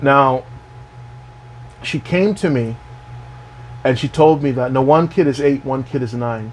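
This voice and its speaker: The speaker is a man with a medium pitch. He talks at a fairly slow pace with ordinary pitch variation. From Canada. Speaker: health and wellness vlogger. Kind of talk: casual monologue. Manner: animated.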